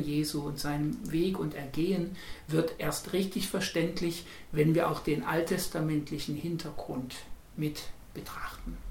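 Room echo is audible as a man with a high pitch speaks at a fairly slow pace. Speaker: Protestant pastor. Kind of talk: interview.

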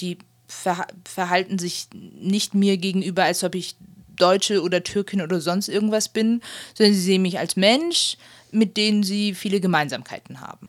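A woman's medium-pitched voice at a moderate pace, fairly even in intonation, on a very clean recording with a silent background. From Germany. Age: 20s. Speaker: interviewee. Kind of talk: interview testimony. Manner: hesitant, frequent fillers.

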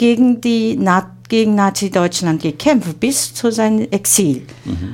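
Speaking very slowly in a Chinese accent, a woman with medium pitch makes very wide pitch swings. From China. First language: Chinese (speaking German). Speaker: interviewer. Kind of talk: interview. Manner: halting.

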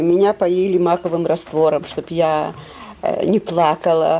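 Noticeable background noise sits behind a woman whose voice is fairly low in pitch. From Lithuania. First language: Russian (speaking German). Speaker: Holocaust survivor. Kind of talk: testimony. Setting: school auditorium with audience.

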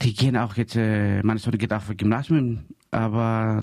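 A man's dark, mellow tone with a Greek accent. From Greece. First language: Greek (speaking German). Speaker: community radio host. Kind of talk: casual chat.

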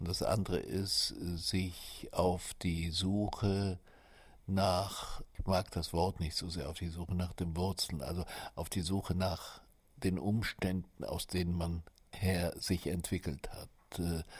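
Very deep and low, a man's somewhat breathy voice moves very slowly in a flat monotone on a very clean recording with a silent background. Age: 70s. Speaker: writer. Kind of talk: interview testimony.

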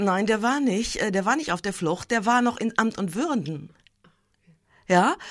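A woman talks at a fairly slow pace with a medium pitch and lively intonation. The recording is very clean, with a silent background. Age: 60s. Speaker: war crimes prosecutor. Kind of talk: interview.

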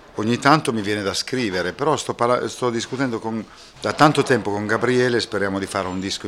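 A man talks with ordinary pitch variation while noticeable noise runs in the background. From Italy. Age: 50s. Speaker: singer-songwriter. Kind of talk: interview. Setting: backstage after a concert.

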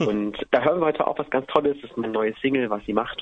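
Words pour out of a man at great speed. His pitch moves up and down a normal amount. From eastern Germany, Halle an der Saale. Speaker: singer. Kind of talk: radio interview. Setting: phone call.

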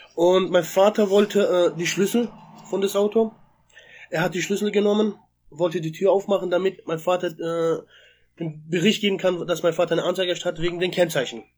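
A man speaks at a fairly quick pace with a high pitch. His intonation stays fairly even. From southwestern Germany (Freiburg). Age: 20s. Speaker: eyewitness to a police incident. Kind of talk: personal testimony. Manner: halting, many hesitations.

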